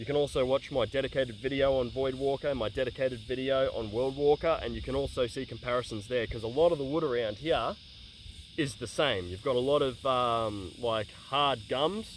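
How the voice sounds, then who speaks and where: A man talks in an Australian accent at a medium pitch. His pace is fairly quick, with ordinary pitch variation. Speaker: bladesmith and tool reviewer. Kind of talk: casual talk to camera. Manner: fast.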